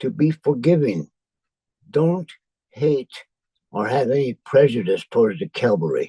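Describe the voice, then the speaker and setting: A man with an American accent speaks at a fairly slow pace and a fairly high pitch, with lively intonation, a dark, mellow tone and vocal fry. He leaves long, frequent pauses, and the sound is dry and close with no echo. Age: 90s. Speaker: spiritual leader. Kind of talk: talk sharing spiritual teachings.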